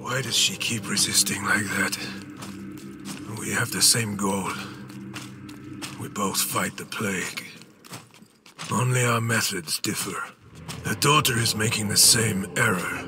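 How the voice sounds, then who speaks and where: Over music in the background, a man does a put-on character voice at medium pitch, fairly slow in pace and fairly even in intonation. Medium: video game. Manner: grim, clipped.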